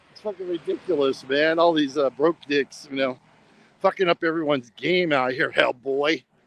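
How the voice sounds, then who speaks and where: In an American accent, a man with a plain, everyday voice speaks at a moderate pace and a fairly high pitch, with fairly even intonation, big swings in loudness and a dry, close sound with no echo. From US. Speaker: travel live streamer. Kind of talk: casual live stream.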